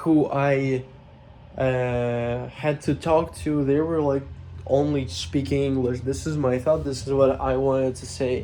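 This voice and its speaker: This man talks at a fairly slow pace in a fairly high pitch, with a dark, mellow tone and ordinary pitch variation. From Russia. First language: Russian. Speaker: YouTuber. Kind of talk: casual vlog monologue. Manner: hesitant, many fillers.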